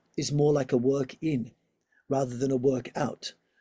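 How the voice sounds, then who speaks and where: A dark, mellow, somewhat breathy voice with an Australian accent, in a dry, close sound with no echo. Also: man. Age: 60s. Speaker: yoga teacher and physiotherapist. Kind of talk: interview.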